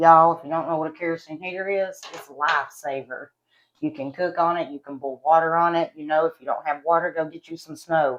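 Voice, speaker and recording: A woman's fairly low voice in an Appalachian accent at a very fast pace, with fairly even intonation and big swings in loudness. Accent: Appalachian country. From West Virginia. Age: 30s. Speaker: beauty and product vlogger. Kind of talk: casual vlog chat. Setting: at home.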